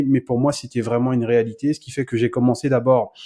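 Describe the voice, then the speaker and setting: Talking at a very fast pace, a man with a Cameroonian accent has a dark, mellow tone. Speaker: business coach. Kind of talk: podcast interview.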